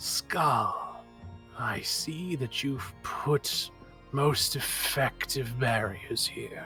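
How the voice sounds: A raspy man's put-on character voice at a very slow pace, with clear music in the background.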